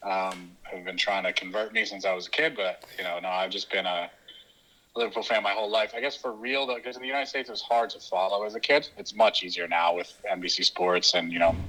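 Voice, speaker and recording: In an East Coast American accent, the speech races at a very fast pace with ordinary pitch variation. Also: man, fairly low pitch for a man. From US East Coast, New Jersey. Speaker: football podcast host. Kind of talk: interview. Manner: halting, many fillers.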